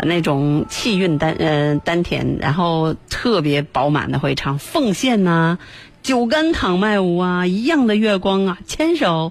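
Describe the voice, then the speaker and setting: Her pitch is fairly low for a woman and swings very widely. She speaks at a fairly slow pace. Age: 40s. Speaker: radio music show host. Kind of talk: live radio music show presenting. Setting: radio studio, live broadcast. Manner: casual, chatty with frequent fillers.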